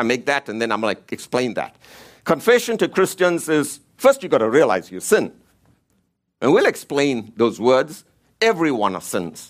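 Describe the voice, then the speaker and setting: A man at a moderate pace, fairly high in pitch, with very wide pitch swings and vocal fry. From Africa. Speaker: preacher. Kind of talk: sermon.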